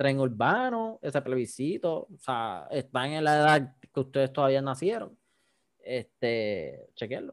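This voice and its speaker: Speaking at a fairly slow pace, a man uses a plain, everyday voice with a fairly high pitch and lively intonation. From Puerto Rico, Yauco. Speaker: podcast host. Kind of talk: casual chat.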